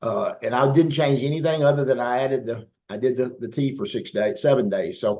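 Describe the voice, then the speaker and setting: A man speaks in a Southern US accent at a fairly high pitch. He leaves hardly any pauses. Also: ordinary pitch variation, fairly quick pace. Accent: Southern US, country. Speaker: business team leader. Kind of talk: online team meeting. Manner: animated.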